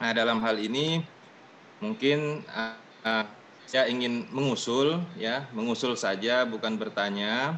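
Over light background noise, a man speaks at a very slow pace with ordinary pitch variation. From West Kalimantan, Indonesia. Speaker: honorary teacher, association member. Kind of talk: online meeting. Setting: video call. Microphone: video call.

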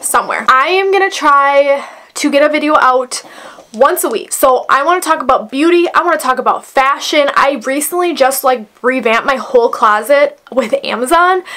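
Her voice raised and projected, a woman speaks at a moderate pace with ordinary pitch variation. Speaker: beauty vlogger. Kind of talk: tutorial. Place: home room.

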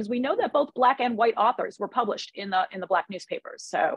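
With a dry, close sound and no echo, a woman talks at a fairly quick pace and fairly high pitch, her lively intonation carrying a slightly husky edge.

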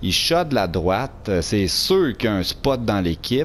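Very slowly and with very wide pitch swings, a man with a Quebec accent speaks at a medium pitch. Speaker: gaming youtuber. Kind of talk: pack opening commentary. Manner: animated.

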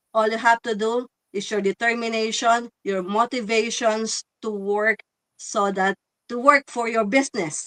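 In a normal speaking voice, a woman talks at a fairly slow pace with fairly even intonation, the sound dry and close with no echo. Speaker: online business owner. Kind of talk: live stream chat.

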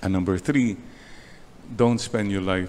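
A man speaks with a Filipino accent. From Philippines. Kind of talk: sermon, homily. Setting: church chapel, online Mass. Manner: animated, conversational, preacherly with punchy repeated points; switches between English and Tagalog. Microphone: podium.

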